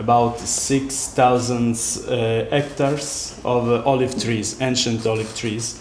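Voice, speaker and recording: A man's medium-pitched, monotone, flat delivery at a very slow pace, with audible room echo and noticeable background noise. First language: Italian. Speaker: architect. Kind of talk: lecture. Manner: halting.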